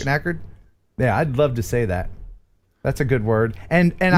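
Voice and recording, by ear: Here is a man with an American accent and a plain, everyday voice. He keeps a medium pitch, a moderate pace and lively intonation.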